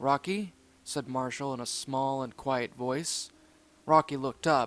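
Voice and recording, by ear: The text is read aloud in a natural voice. Intonation stays fairly even.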